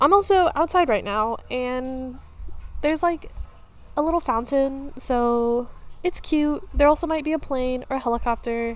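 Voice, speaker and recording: With an American accent, a woman talks at a fairly slow pace in a high pitch and ordinary pitch variation. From Texas, Houston. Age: 20s. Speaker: podcaster. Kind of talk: casual chat. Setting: outdoors. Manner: casual, many fillers.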